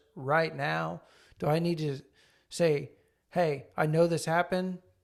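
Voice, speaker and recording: On a very clean recording with a silent background, a man with an unremarkable speaking voice talks at a fairly high pitch with fairly even intonation. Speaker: marriage podcast co-host. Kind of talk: casual chat.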